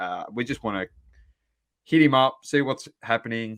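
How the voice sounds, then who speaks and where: Over a quiet background, a man speaks in an Australian accent at a moderate pace. The sound is dry and close with no echo, and his intonation is fairly even. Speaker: podcast host. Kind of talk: casual chat.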